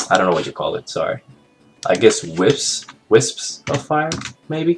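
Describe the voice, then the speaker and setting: A fairly slow pace over music in the background. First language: not English. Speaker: animation tutorial maker. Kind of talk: tutorial. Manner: casual, hesitant with fillers.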